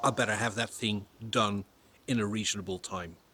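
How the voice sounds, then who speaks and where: At a fairly slow pace, a man with a non-native accent speaks in a bright, sharp tone. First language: not English. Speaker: woodworking YouTuber. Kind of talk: tutorial. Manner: casual, hesitant with fillers.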